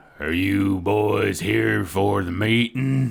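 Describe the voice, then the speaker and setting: In a put-on character voice, a man speaks very slowly, raspy and at a fairly low pitch. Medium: actual play. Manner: blunt, interrogating.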